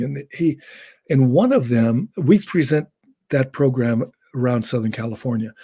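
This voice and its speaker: The man's voice sits at a medium pitch. His tone is dark and mellow, and somewhat breathy. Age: 70s. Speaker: educator. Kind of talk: casual chat.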